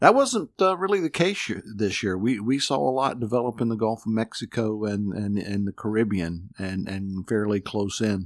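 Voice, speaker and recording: A man with an American accent and an ordinary speaking voice, fairly low in pitch, at a moderate pace with hardly any pauses, on a very clean recording with a silent background. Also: ordinary pitch variation. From North Carolina (Newton, near Hickory). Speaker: meteorologist. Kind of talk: casual chat.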